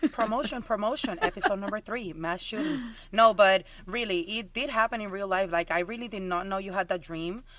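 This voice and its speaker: On a very clean recording with a silent background, a woman with a strong Puerto Rican accent talks at a fairly quick pace and a medium pitch. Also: ordinary pitch variation. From Puerto Rico. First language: Spanish. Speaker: podcast co-host. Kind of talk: casual chat.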